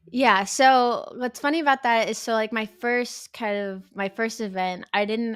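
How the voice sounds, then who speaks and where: In a dry, close sound with no echo, a woman speaks at a fairly high pitch on a very clean recording with a silent background. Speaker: esports caster and streamer. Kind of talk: interview. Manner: fast.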